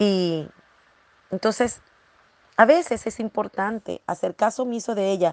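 The voice moves at a fairly slow pace with ordinary pitch variation and long, frequent pauses. Its sound is dry and close with no echo. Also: woman, medium pitch for a woman. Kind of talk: devotional talk. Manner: animated; halting.

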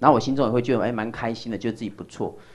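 A man's voice against a quiet background. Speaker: lecturer. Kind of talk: lecture.

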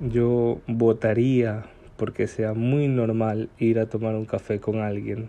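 A dark, mellow tone with monotone, flat intonation. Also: man. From Ecuador, Guayaquil. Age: 20s. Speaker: podcaster. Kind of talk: personal monologue. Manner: halting.

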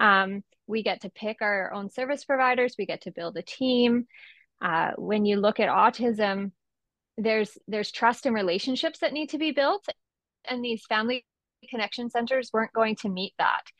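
A woman's ordinary speaking voice, fairly high in pitch, with a Canadian accent at a moderate pace. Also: ordinary pitch variation. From Esquimalt, Vancouver Island, British Columbia, Canada. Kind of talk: casual interview conversation.

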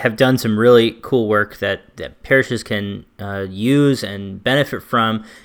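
A man with a normal speaking voice talks at a fairly slow pace with hardly any pauses, his pitch medium with ordinary variation. The recording is very clean, with a silent background. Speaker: podcast host.

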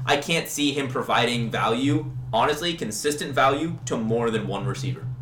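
Amid noticeable background noise and audible room echo, a man speaks with an American accent and ordinary pitch variation. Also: medium pitch for a man, moderate pace. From US Midwest, Kansas City. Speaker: fantasy football podcast co-host. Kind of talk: casual chat.

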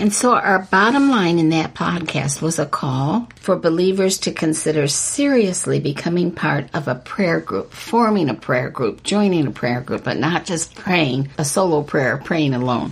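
Very wide pitch swings mark this woman's fairly low voice. Noticeable background noise runs underneath. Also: moderate pace. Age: 70s. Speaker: author and podcast co-host. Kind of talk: religious discussion podcast.

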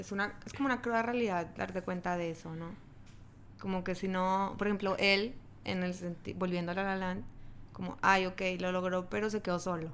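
A woman with an ordinary speaking voice talks at a moderate pace, her pitch medium and her intonation fairly even. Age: 20s. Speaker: podcast guest, friend of host. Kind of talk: casual chat.

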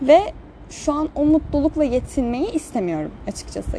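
A woman speaks with a lively intonation. Noticeable background noise runs under her voice. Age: young. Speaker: podcaster. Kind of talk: casual monologue. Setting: outdoors at night.

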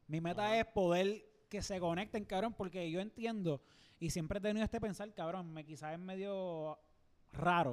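A man with a Puerto Rican accent speaks at a high pitch. His pace is moderate, and his pitch varies in an ordinary way. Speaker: podcast co-host. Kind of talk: casual chat. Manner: animated.

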